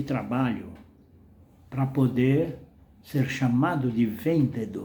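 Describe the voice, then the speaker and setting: At a very slow pace, a man speaks in a dark, mellow tone with vocal fry, amid audible room echo. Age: 80s+. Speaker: retired salesman and vlogger. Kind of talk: casual monologue.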